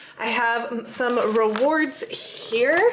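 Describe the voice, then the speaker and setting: Noticeable background noise runs under this clip. The woman's voice is pitched fairly high. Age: 20s. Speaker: travel vlogger. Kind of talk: vlog narration. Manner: casual.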